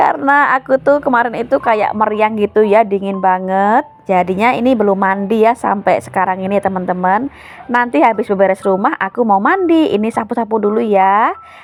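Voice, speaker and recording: Over noticeable background noise, a woman speaks at a fairly high pitch with ordinary pitch variation. Her pace is fairly quick, with hardly any pauses. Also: very even loudness. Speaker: vlogger and small shop owner. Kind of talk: casual vlog narration. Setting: at home. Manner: chatty, informal.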